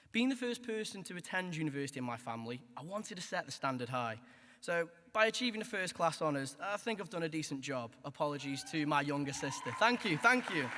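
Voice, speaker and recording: At a very fast pace, a man talks at a fairly high pitch with very wide pitch swings. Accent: Stoke. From Stoke-on-Trent, England. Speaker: graduating student. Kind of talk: graduation speech. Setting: hall with audience.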